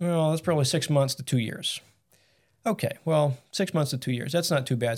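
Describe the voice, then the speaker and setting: A man with an American accent talks at a fairly quick pace and ordinary pitch variation. He has an unremarkable speaking voice. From Massachusetts. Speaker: carpenter and business co-owner. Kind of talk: casual interview.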